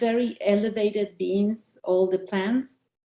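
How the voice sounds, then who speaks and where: A woman speaks at a very slow pace in a strong Argentine accent. Her tone is dark and mellow. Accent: Argentinian accent, still strong. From Argentina. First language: Spanish. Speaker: author. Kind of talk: interview. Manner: halting, with many fillers.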